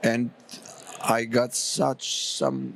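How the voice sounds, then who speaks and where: A man speaks over noticeable background noise. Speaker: events industry expert. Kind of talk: panel interview.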